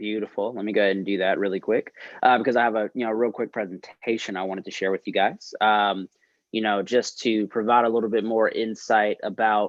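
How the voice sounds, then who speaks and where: The speaker has a North Carolina accent and a fairly quick pace. The intonation stays monotone and flat. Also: man. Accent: Southern US (North Carolina). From North Carolina, Winston-Salem. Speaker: fraternity expansion consultant, guest speaker. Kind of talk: presentation to student senate. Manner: casual, many fillers.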